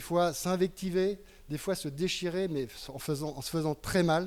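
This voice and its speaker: Fairly even intonation marks a man's high-pitched speech. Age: 70s. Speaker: party representative. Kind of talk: political rally speech. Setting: public hall with audience.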